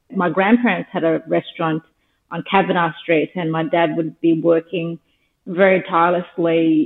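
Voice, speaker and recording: In an Australian accent, a woman talks at a fairly low pitch. Her pace is fairly slow and her pitch variation ordinary. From Australia, Darwin (Northern Territory). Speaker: skincare business founder. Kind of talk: interview.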